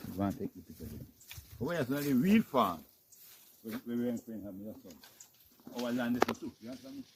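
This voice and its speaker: A man at medium pitch with a Jamaican accent, very fast, with big swings in loudness and long, frequent pauses. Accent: Jamaican Patois. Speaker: farmer. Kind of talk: farm tour walkthrough.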